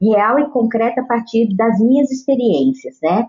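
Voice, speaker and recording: This woman's voice comes out somewhat breathy. She talks at a fairly slow pace. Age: 50s. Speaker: children's author and educator. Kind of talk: interview.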